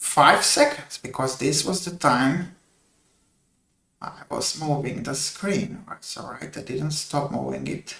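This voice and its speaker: A man with a non-native accent speaks at a fairly slow pace. His voice sits fairly high. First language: not English. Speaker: game developer streamer. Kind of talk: coding livestream tutorial. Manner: halting.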